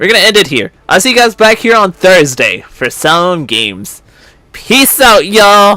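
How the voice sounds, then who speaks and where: A man's raised, projected voice has a high pitch, a bright, sharp tone and lively intonation. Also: moderate pace. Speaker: gaming streamer. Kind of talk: casual stream talk. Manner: loud.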